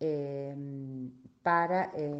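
This voice belongs to a woman. It sits very deep and low. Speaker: basketball association representative. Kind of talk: radio interview.

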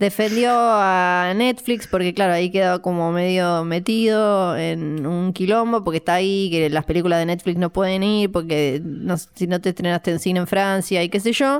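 A woman's medium-pitched voice, an ordinary speaking voice, with very even loudness, ordinary pitch variation and hardly any pauses. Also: moderate pace. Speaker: podcast co-host, film commentator. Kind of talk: casual chat.

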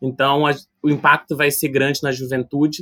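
With a plain, everyday voice and a fairly high pitch, a man talks at a fairly quick pace in a dry, close sound with no echo. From Brazil, Rio de Janeiro (Vila do Vintém). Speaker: youth policy researcher. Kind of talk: podcast interview.

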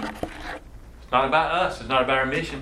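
With a Southern US accent, a man talks in a fairly high pitch over noticeable background noise, and the room echo is audible. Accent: Southern US (Georgia). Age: 50s. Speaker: missions education director. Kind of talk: workshop talk. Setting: church session with audience.

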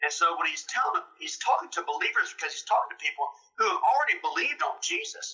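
An extremely high-pitched man talking very fast with very wide pitch swings and a Mississippi accent. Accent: Southern US (Mississippi). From US South, Mississippi. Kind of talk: testimony. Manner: animated.

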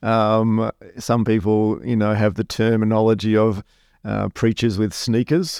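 In a dry, close recording with no echo, a man with a fairly low pitch speaks at a fairly slow pace and fairly even intonation. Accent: Australian. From Western Australia, Perth. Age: 40s. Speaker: pastor. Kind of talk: casual interview.

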